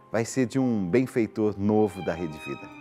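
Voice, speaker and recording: A man speaks with faint music in the background. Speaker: TV program host. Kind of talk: live TV appeal to viewers. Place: studio. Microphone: lapel.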